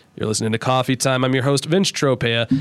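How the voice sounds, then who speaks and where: A man with an American accent, music playing in the background. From southern Ohio. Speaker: radio host. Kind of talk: casual chat. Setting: studio.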